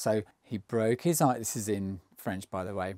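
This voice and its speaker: A man speaks in an English accent, the sound dry and close with no echo. The recording is very clean, with a silent background. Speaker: travel vlogger. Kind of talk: casual storytelling to camera. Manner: mumbling; halting. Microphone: new microphone.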